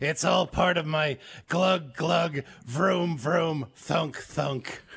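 A man puts on a cartoonish character voice, raspy and fairly high in pitch. He speaks at a very slow pace. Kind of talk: casual show chat, quoting a cartoon line. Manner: nonsensical, rattling engine sounds.

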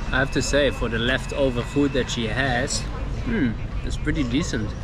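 The sound is dry, with no echo, and noticeable background noise. A man is the speaker. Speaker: travel food vlogger. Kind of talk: casual vlog chat. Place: market. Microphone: phone near.

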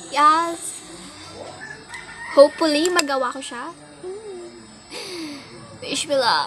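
A woman's high-pitched voice with a Filipino accent, ordinary pitch variation, a fairly slow pace, long and frequent pauses, and noticeable background noise. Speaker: makeup vlogger. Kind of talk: casual talk to camera.

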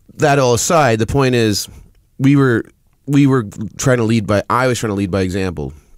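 At a moderate pace, a man speaks in a dry sound with no echo and a quiet background. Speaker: podcast guest. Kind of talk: interview answer. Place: studio. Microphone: studio mic.

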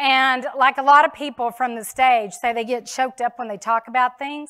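A woman's high, bright, sharp voice, raised and projected, against a quiet background. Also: moderate pace. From Texas. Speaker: insurance sales speaker; speaker. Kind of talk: keynote speech. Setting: stage with audience. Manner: animated. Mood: emotional about late father. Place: stage.

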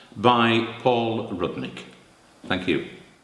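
Someone talks at a fairly slow pace with audible room echo. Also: man. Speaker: actor auditioning. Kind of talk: theatrical monologue performance. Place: studio.

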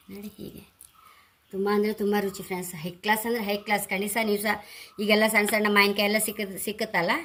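This is a woman speaking. Her pitch is medium. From Andhra Pradesh, India. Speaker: cooking video creator. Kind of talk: cooking tutorial. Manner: casual, chatty.

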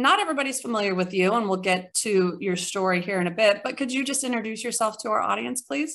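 A woman talks fast at a medium pitch with lively intonation. Her tone is fairly bright, with some vocal fry.

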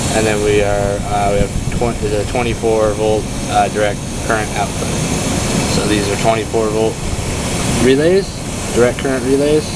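A man talks at a moderate pace with long, frequent pauses. Loud background noise is present. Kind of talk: casual tutorial commentary. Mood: relaxed, pleased. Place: open country. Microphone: phone near.

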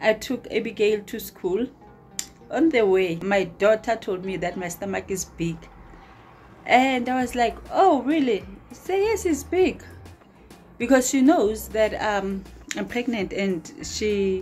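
Faint music plays in the background as a woman talks at a fairly slow pace, with long, frequent pauses. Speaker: vlogger. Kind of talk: casual vlog chat. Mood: amused, chatty. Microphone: phone near.

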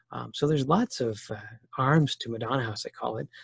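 Somewhat breathy, a man speaks at a fairly quick pace with a Canadian accent. The sound is dry with no echo, over a quiet background. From Ontario, Canada. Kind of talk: testimony. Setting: video call. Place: home room. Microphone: video call.

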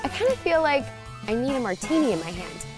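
A woman speaks with an upbeat, playful tone. Music is audible behind her. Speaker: TV host and journalist. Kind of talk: TV travel and lifestyle hosting.

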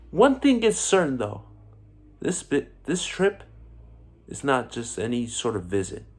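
A man talks at a fairly slow pace. He leaves long, frequent pauses. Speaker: actor. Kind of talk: theatrical dramatic monologue, vengeful confrontation of a hated rival. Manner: grandiose, declamatory, relishing each insult. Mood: angry, accusing, intense. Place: home room. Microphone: phone near.

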